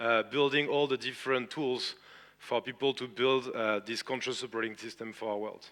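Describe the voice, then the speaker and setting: Man with a strong French accent, medium pitch, a bright, sharp tone, fairly even intonation and a fairly quick pace. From France. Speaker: tech entrepreneur and conference speaker. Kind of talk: conference talk. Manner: hesitant, many filler sounds.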